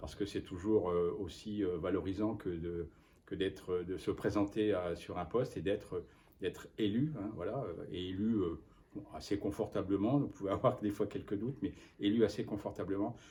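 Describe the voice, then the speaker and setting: A man's somewhat breathy, fairly low-pitched voice with a dark, mellow tone, at a moderate pace. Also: ordinary pitch variation. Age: 60s. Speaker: football official. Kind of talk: interview. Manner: halting.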